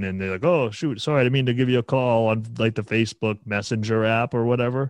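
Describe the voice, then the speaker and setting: With a normal speaking voice, a man talks at a fairly quick pace and a medium pitch. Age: 20s. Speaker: podcast host. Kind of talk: casual chat.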